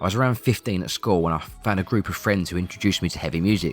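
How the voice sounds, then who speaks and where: Over music in the background, a man with an Essex accent talks at a very fast pace in a very deep, low pitch with ordinary pitch variation. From Essex, England. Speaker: musician. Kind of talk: documentary narration.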